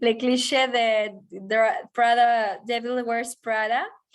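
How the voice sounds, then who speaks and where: A woman with a strong Spanish accent speaks at a very slow pace with a fairly high pitch. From Mexico. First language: Spanish (speaking French). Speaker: e-commerce marketing professional. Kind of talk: guest talk answering questions. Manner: hesitant, many fillers.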